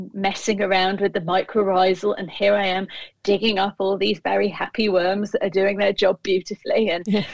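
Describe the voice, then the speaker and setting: In a British accent, a woman with a medium-pitched voice speaks at a fairly quick pace with monotone, flat intonation. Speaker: food writer and kitchen gardener. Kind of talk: casual chat.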